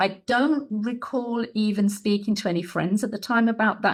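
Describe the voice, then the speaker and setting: On a very clean recording with a silent background, a woman with an English accent talks at a moderate pace and medium pitch. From England. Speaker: soul healer and mentor. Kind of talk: podcast interview.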